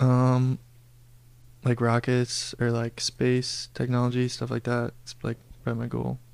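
A man with an American accent speaks fairly slowly in a monotone, flat intonation. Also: medium pitch for a man. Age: 20s. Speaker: engineering student. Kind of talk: casual chat.

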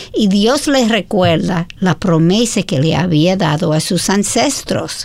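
Very slowly, a woman speaks with an American accent in a fairly low pitch. Her pitch swings are very wide, and noticeable background noise is heard. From United States. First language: English (speaking Spanish). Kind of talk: Bible study discussion.

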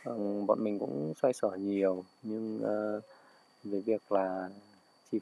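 Dark and mellow in tone, a man's fairly low voice moves at a very slow pace in a flat monotone. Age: 30s. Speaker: restaurant owner. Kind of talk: personal reflection and book reading. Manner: halting.

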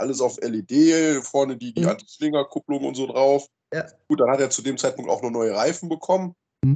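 Moderate in pace, a man speaks at a fairly high pitch with ordinary pitch variation. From Rhineland-Palatinate, Germany. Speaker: camping group organizer. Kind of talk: casual chat. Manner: halting, repeats words.

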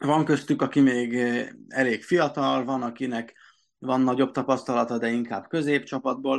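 A man talks at a medium pitch and a fairly slow pace. His intonation is monotone and flat. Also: quiet background. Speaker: football blog co-editor. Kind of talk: casual sports discussion.

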